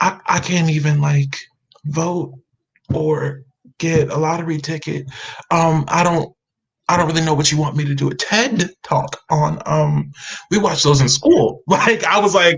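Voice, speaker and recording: A man with an American accent speaks at a fairly high pitch with ordinary pitch variation. He goes at a fairly slow pace with long, frequent pauses. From US South, Atlanta, Georgia. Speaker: actor and writer. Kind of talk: casual interview chat.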